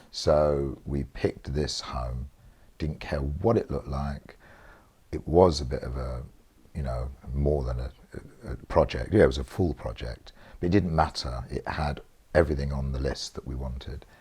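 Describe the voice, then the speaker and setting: A man with a South London accent, very deep and low in pitch, dark and mellow in tone, with vocal fry, ordinary pitch variation, big swings in loudness, a moderate pace and long, frequent pauses. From South East London. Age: 60s. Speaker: interviewee. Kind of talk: casual interview.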